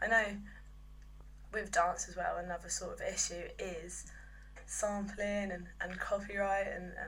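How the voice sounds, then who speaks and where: In an English accent, a woman speaks at a fairly slow pace with long, frequent pauses and big swings in loudness, in audible room echo. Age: 20s. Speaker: music business apprentice. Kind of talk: video monologue. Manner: halting.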